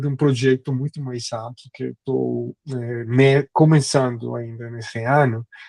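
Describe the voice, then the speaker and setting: A man's medium-pitched voice at a fairly slow pace, fairly even in intonation, with a dry, close sound and no echo. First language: Spanish (speaking Portuguese). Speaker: history professor. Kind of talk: academic lecture. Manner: halting, many fillers.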